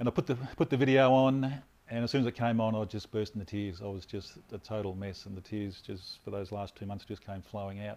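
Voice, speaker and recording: A man talks with an Australian accent at a fairly low pitch. He moves at a fairly quick pace. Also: ordinary pitch variation. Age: 50s. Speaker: former police officer, immigration officer, health advocate. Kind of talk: interview, personal story.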